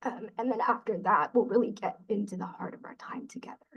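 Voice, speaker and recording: A woman's fairly high voice with vocal fry, fairly even intonation, and a moderate pace. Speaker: peer support specialist. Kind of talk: webinar presentation. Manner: frequent filler ums.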